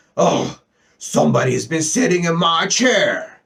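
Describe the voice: A gruff, raspy put-on character voice from a man, at a fairly slow pace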